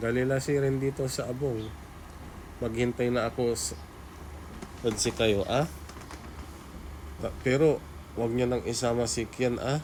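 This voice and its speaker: Against noticeable background noise, a man with a Pangasinan accent talks at a fairly slow pace with ordinary pitch variation. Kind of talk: casual talk to camera.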